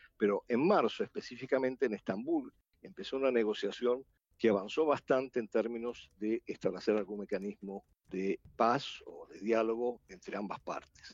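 A man with an Argentine accent speaks at a moderate pace with big swings in loudness. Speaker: international relations analyst. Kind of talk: panel discussion. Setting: video call.

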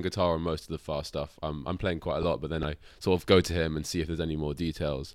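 In a very clean recording with a silent background, a man with a London accent and a very deep voice races along very fast with hardly any pauses. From London, England. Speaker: drummer. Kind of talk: casual chat.

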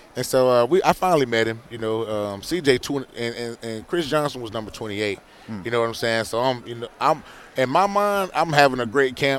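With a normal speaking voice, a man talks at a fairly quick pace and medium pitch. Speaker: former NFL player. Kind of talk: casual interview. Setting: radio row event.

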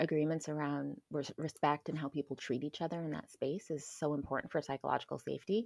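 With hardly any pauses, a woman talks at a very fast pace in a very deep, low pitch, her pitch varying in an ordinary way, the sound dry and close with no echo against a quiet background. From Florida. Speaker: UX designer and community organizer. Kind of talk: interview conversation.

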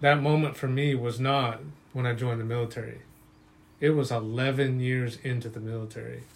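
There is audible room echo around a man whose medium-pitched, somewhat breathy voice stays monotone and flat. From Utah. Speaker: social worker and military veteran, survivor. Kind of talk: testimony.

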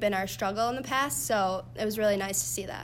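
The recording features a woman speaking. Room echo can be heard. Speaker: college gymnast. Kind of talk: interview.

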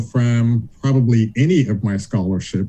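Speaking with an American accent, a man keeps a very slow pace at a medium pitch. His tone is dark and mellow, and somewhat breathy. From US South, Charleston, South Carolina. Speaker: law professor. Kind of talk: interview.

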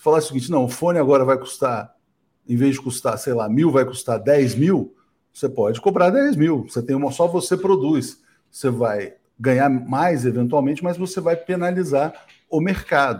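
A man's somewhat breathy, fairly high-pitched voice with a dark, mellow tone. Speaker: news show host. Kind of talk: live political talk show.

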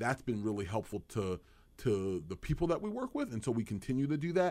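A man with a Philadelphia accent at a fairly quick pace. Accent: Philadelphia-area American English. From New Jersey, Burlington County. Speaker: insurance agency owner. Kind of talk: interview. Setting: studio.

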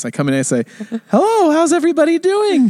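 In a put-on character voice, a man rattles along very fast at an extremely high pitch. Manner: cheery, forced.

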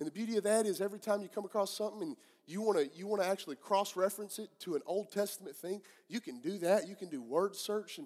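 A man talks at a very fast pace in a high pitch. He has a Southern US accent. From US Southeast. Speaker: pastor. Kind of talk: sermon. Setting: church service with live congregation.

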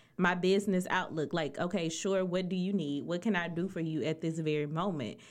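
A woman's ordinary speaking voice at a medium pitch and moderate pace. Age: 30s. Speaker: podcast co-host. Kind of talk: casual chat.

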